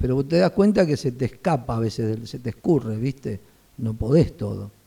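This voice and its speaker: A man's medium-pitched, dark, mellow voice, somewhat breathy, with a Rioplatense accent, lively intonation and a moderate pace. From Buenos Aires, Argentina. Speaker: pastor and seminary vice-rector. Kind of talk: casual interview.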